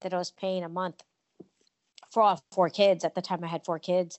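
A woman with a normal speaking voice uses a medium pitch and fairly even intonation at a moderate pace. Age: 50s. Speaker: company CEO and author. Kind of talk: casual chat.

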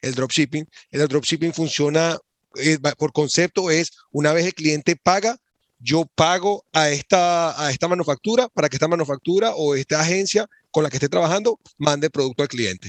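A normal speaking voice at a moderate pace with ordinary pitch variation, in a dry, close sound with no echo. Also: man, fairly high pitch for a man. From Venezuela. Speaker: e-commerce entrepreneur. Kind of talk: podcast interview.

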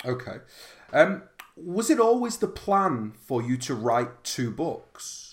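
A man with a British accent speaks at a very slow pace. His fairly high voice swings very widely in pitch. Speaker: podcast host. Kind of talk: interview.

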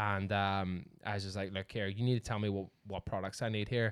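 A man with a Northern Irish accent, fairly low in pitch, talking at a very fast pace on a very clean recording with a silent background. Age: 30s. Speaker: podcast host. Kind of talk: casual chat.

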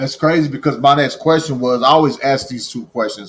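A man talks at a fairly quick pace and a medium pitch. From Missouri, small town. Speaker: podcast host, formerly incarcerated. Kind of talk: interview. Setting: online live stream, remote call.

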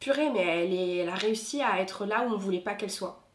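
A woman rattles along at a very fast rate, with noticeable noise in the background. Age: 20s. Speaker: consultant. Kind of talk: testimony.

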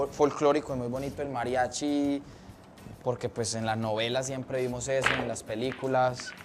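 A man at a moderate pace with music in the background. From Colombia, Antioquia (near Medellín). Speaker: comedian. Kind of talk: casual chat.

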